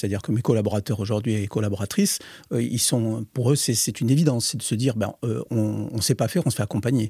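A man speaks at a fairly quick pace in a dark, mellow, somewhat breathy tone with ordinary pitch variation. The sound is dry and close with no echo, on a very clean recording with a silent background. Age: 60s. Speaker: company founder and director. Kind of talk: interview. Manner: halting, many repeated words.

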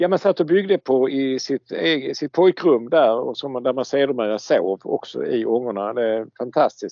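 In an ordinary speaking voice, the speaker talks at a fairly slow pace with lively intonation. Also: man, medium pitch for a man. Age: 60s. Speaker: scale model expert. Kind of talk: casual chat.

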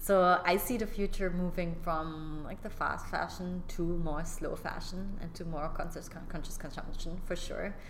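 Noticeable background noise surrounds a woman with a fairly low pitch who talks at a moderate pace with hardly any pauses. Her intonation is fairly even. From Germany. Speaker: fashion entrepreneur. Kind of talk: casual interview.

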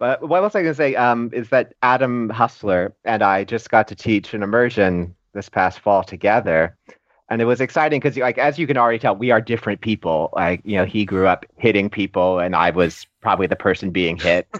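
Using an ordinary speaking voice, a man with an American accent talks at a fairly quick pace with hardly any pauses, fairly low pitch and lively intonation, in a dry, close sound with no echo. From Florida, US. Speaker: yoga teacher. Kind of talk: casual interview.

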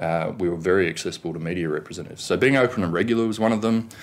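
A man's fairly low voice with an Australian accent. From Australia, Canberra. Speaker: government communications director. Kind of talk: interview. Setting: studio.

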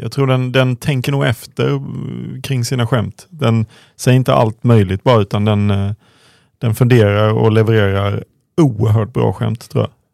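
A dry, close sound with no echo, carrying an ordinary speaking voice with ordinary pitch variation at a moderate pace. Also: man, medium pitch for a man. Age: 30s. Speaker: former footballer, podcast co-host. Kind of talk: casual chat.

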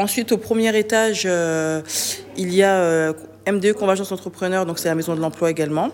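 A woman talks at a medium pitch. Background noise is noticeable throughout. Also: ordinary pitch variation, moderate pace. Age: 30s. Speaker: web developer and entrepreneur. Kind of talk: interview. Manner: hesitant, many fillers.

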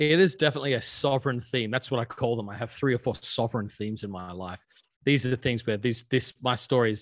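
This man talks very fast with an Australian accent, a medium pitch and ordinary pitch variation. The sound is dry and close, with no echo. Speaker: pastor. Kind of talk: interview conversation. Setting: podcast recording.

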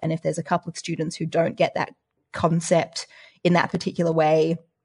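With an Australian accent, a woman speaks at a fairly quick pace and a fairly low pitch, somewhat breathy. The background is quiet. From Australia, Adelaide. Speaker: applied mathematician and science podcaster. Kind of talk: casual interview chat.

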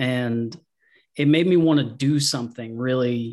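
A man with a Southern US accent and a medium pitch speaks at a very slow pace. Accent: Southern US (Georgia). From US South, Georgia. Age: 40s. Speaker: comic artist, abuse survivor. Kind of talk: interview.

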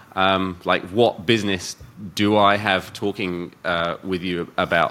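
A man with a British accent, a very deep, low pitch, a bright, sharp tone and a very slow pace. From UK. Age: 40s. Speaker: podcast host. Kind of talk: casual interview; podcast intro.

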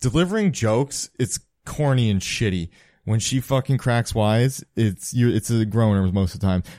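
A man with a dark, mellow tone speaks at a moderate pace and medium pitch, with ordinary pitch variation and very even loudness. The sound is dry and close with no echo, in a very clean recording with a silent background. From Cape Breton, Nova Scotia (Sydney). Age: 20s. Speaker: stand-up comedian. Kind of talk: casual chat.

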